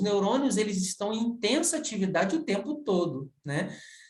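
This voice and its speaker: Audible room echo carries a man's voice as it moves through very wide pitch swings. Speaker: university professor. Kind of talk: recorded video lecture. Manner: halting, many fillers.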